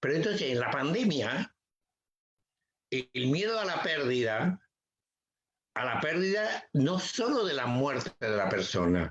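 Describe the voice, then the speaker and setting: Pitch swings very widely as a man speaks at a fairly slow pace. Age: 70s. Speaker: psychotherapist. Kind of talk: interview. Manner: halting.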